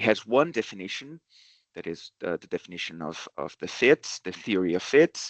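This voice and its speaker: A man speaks with a Brazilian accent and very wide pitch swings. The sound is dry and close with no echo, over a quiet background. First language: Portuguese. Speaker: professor. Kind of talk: academic seminar talk. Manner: halting, many fillers.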